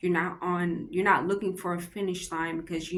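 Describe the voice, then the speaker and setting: A woman speaks at a moderate pace in a fairly low pitch, her intonation flat and monotone. Audible echo from the room surrounds her voice. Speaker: vlogger doing a Bible devotional reading. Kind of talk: casual reflective commentary on a book. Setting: public library. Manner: halting, with self-corrections and fillers.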